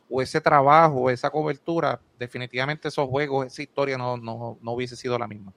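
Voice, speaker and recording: With a Puerto Rican accent, a man speaks at a very fast pace with hardly any pauses. His medium-pitched voice has fairly even intonation and a dry, close sound with no echo. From Puerto Rico, Moca. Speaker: basketball commentator. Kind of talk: casual chat.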